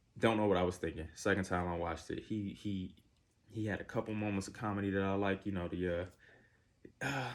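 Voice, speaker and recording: A man at a fairly quick pace, in a very clean recording with a silent background. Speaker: movie reviewer. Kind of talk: casual video review monologue. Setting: recording to camera. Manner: hesitant, many fillers.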